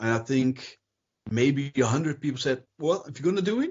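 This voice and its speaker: A man is speaking. He has a non-native accent. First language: not English. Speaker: miniature company owner. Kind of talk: interview.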